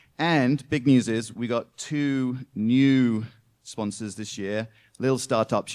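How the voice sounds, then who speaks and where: A man speaks with a British accent and fairly even intonation. The recording is very clean, with a silent background. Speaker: event MC and startup investor. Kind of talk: event MC welcome speech. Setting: stage with live audience. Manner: filler-heavy, frequent ums.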